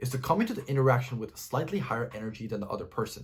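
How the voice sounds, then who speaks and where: A man at a very fast pace, somewhat breathy, with very wide pitch swings and a slight non-native accent. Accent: slight non-native pronunciation. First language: not English. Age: 20s. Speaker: self-improvement YouTuber. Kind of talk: direct-to-camera advice talk.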